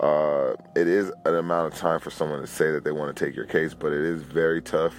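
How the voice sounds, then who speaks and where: Through noticeable background noise, a man with an American accent speaks in a very deep, low pitch. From Los Angeles, California. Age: 20s. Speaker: personal testimony speaker. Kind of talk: testimony. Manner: halting.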